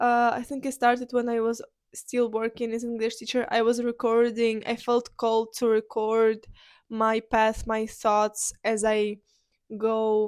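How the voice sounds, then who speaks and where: Fairly even intonation and a fairly slow pace come through in a very clean recording with a silent background. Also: woman. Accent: Ukrainian. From Ukraine. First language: Ukrainian. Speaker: podcaster. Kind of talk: personal monologue. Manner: halting.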